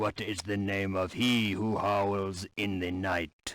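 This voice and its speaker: In a put-on character voice, a man talks fairly slowly in a flat monotone. His pitch is fairly low. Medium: video game. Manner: earnest, brief.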